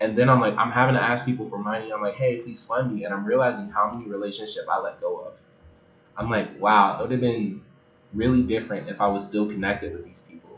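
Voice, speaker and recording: A man with an American accent and a medium pitch, very fast delivery, fairly even intonation, big swings in loudness, audible room echo, and noticeable background noise. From United States. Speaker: online faith creator. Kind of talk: livestream bible reading and commentary. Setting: livestream with chat. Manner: speed reading.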